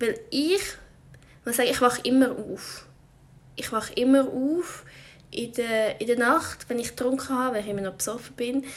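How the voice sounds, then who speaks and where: A woman's high-pitched voice with long, frequent pauses. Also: ordinary pitch variation, moderate pace. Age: 20s. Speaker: podcaster. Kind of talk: casual monologue. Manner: halting.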